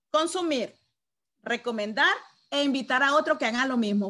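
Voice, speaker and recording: This raised, projected voice has an animated tone and lively intonation, moving at a moderate pace. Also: woman. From Venezuela. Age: 50s. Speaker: network marketing distributor; sales trainer. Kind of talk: product training presentation. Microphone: video call.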